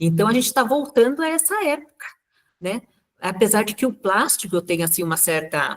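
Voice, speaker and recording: A woman talks at a fairly quick pace and a fairly high pitch. Her pitch swings very widely. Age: 60s. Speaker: natural cosmetics maker presenting a talk. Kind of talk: casual chat.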